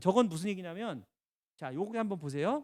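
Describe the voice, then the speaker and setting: The recording is very clean, with a silent background and a dry, close sound with no echo, as a man's voice swings very widely in pitch. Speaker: lecturer on health insurance and pension planning. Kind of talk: lecture. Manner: fast.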